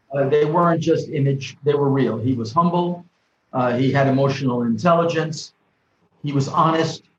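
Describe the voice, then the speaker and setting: A somewhat breathy man with a New York accent and fairly even intonation. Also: fairly high pitch for a man, moderate pace. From New York City (the Bronx). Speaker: professor and author, former diplomat. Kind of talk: interview.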